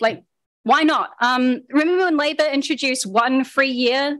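A woman speaks with a New Zealand accent. Her pitch varies in an ordinary way. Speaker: activist speaker, former secondary school teacher. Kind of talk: public talk. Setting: public meeting with audience.

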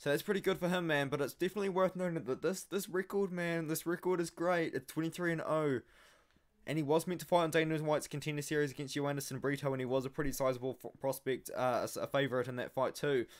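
Everything around the speaker is quiet. A man talks at a very fast pace. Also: ordinary pitch variation. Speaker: MMA analysis channel host. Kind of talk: commentary.

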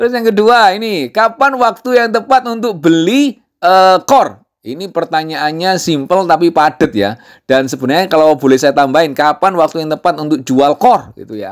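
A man speaks at a moderate pace with a high pitch and very wide pitch swings. His tone is angry and animated, and the recording is very clean with a silent background. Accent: East Javanese. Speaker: crypto YouTuber. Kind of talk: casual tutorial. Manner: intonation sounds like angry arguing.

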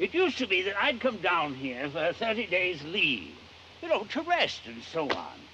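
Over noticeable background noise, a man projects a raised voice at a moderate pace, his high pitch swinging very widely. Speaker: actor playing an elderly character. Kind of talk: theatrical play performance. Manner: languid, rueful, comic.

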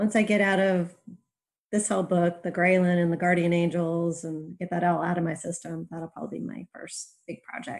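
A woman with a plain, everyday voice, fairly low in pitch, speaks at a moderate pace with fairly even intonation and big swings in loudness. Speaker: urban fantasy author. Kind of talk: casual chat.

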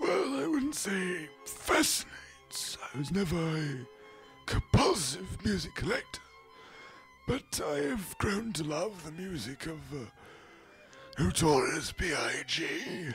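Using a put-on character voice, a man talks at a fairly slow pace in a fairly high pitch. Clear music plays in the background. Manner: hesitant, slow.

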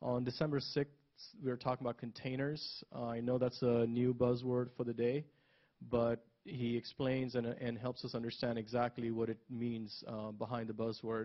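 A man speaks in a monotone, flat intonation at a moderate pace. The background is quiet. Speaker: event host introducing upcoming talks. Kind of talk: event announcements. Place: hall.

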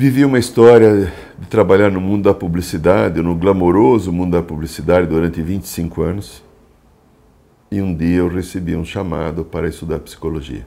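A dark, mellow tone carries the speech at a fairly quick pace. Pitch varies in an ordinary way. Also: man, very deep, low pitch for a man. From Brazil, São Paulo city. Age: 60s. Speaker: psychologist and shamanic therapist. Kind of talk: talk about his spiritual life path. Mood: calm, reflective. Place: home room. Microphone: lapel.

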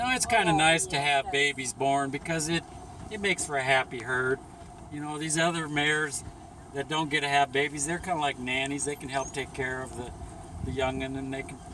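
A man talks in a dry recording with no echo, with noticeable background noise behind him. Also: fairly even intonation. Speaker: sanctuary guide. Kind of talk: casual tour commentary. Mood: warm, affectionate. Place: car. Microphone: camera far.

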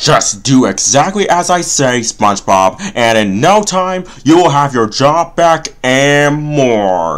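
A cartoonish character voice at a low-to-middle pitch, fairly slow in pace, with hardly any pauses. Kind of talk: comic cartoon parody voice. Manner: sarcastic, exasperated, grandiose when speechmaking.

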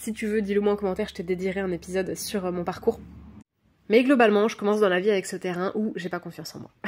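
Talking very fast at a medium pitch, a woman's voice shows big swings in loudness. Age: 30s. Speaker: life coach. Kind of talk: casual podcast monologue. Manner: animated.

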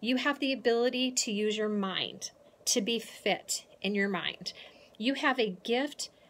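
Her pace fairly slow, a woman talks with ordinary rises and falls in pitch. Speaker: motivational speaker. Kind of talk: motivational vlog talk. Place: home room. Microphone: phone near.

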